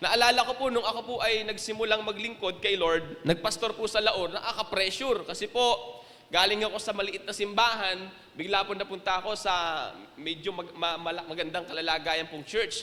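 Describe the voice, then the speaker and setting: Over noticeable background noise, a man uses a raised, projected voice at a high pitch, speaking at a fairly quick pace with ordinary pitch variation. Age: young. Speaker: pastor. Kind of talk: sermon. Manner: serious, emphatic.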